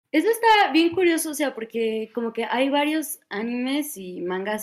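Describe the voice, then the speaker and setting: The woman's pitch swings very widely. She talks at a fairly slow pace. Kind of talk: casual chat.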